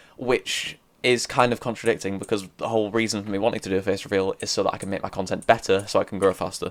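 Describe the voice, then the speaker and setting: Very fast and with hardly any pauses, a man talks in a flat monotone at a fairly low pitch on a very clean recording with a silent background. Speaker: gaming YouTuber. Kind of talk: casual vlog talk while playing. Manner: rambling, casual.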